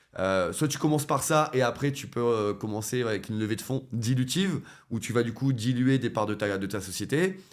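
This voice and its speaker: A man talks at medium pitch and a moderate pace, with ordinary pitch variation. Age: 30s. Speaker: web3 entrepreneur and former nurse. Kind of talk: interview conversation. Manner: hesitant, many fillers and restarts.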